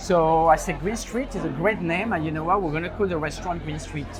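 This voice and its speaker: Amid crowd noise and audible room echo, a man with a fairly high pitch talks at a fairly quick pace with ordinary pitch variation. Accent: French. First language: French. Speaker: restaurant owner. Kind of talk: interview. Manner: hesitant, many fillers.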